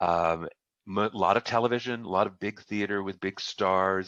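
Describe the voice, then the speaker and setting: A man with a fairly low pitch speaks at a moderate pace with ordinary pitch variation, his voice dry and close with no echo against a quiet background. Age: 60s. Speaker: executive coach and former actor. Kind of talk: interview.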